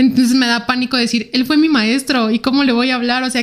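On a very clean recording with total background silence, a woman talks in a fairly high voice with fairly even intonation. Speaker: ballistics expert. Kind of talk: interview. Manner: fast and quiet.

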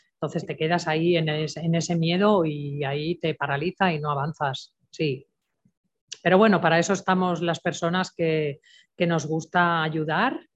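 A woman with a fairly low pitch, fairly even intonation, an unremarkable speaking voice, and a moderate pace. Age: 60s. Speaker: natural health therapist. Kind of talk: interview.

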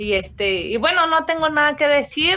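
A woman's voice with lively, varied intonation. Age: 30s. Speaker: professional boxer. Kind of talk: interview. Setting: at home. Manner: halting, many repetitions and fillers.

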